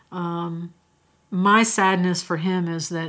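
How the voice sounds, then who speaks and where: A woman with an American accent has a normal speaking voice, fairly low in pitch, with fairly even intonation. The recording is very clean, with a silent background. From US Northeast, rural Pennsylvania. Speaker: retired school principal. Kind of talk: testimony.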